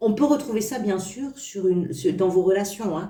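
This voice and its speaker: At a fairly slow pace, a woman talks at medium pitch over noticeable background noise, with audible room echo. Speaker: tarot reader. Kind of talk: tarot reading video. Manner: stammering slightly; hesitant with fillers.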